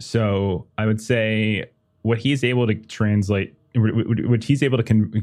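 A man's fairly low-pitched, plain, everyday voice at a fairly slow pace. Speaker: game master. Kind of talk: actual-play tabletop roleplaying game, casual chat. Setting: live stream.

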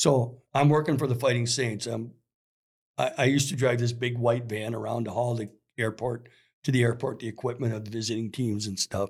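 A man's medium-pitched, somewhat breathy voice, fairly even intonation, with an American accent. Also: fairly quick pace. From Minnesota, US Upper Midwest. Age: 60s. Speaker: sporting goods store worker and youth hockey coach. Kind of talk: casual chat.

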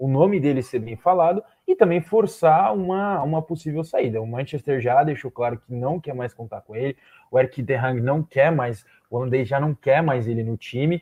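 Using an unremarkable speaking voice, a man with a fairly high pitch talks at a moderate pace with lively intonation and big swings in loudness. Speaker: football analyst. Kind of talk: live panel discussion.

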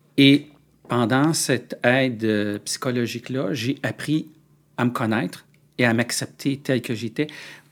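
The speaker is a man with a medium pitch and ordinary pitch variation. He talks very slowly. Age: 50s. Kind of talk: interview. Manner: halting.

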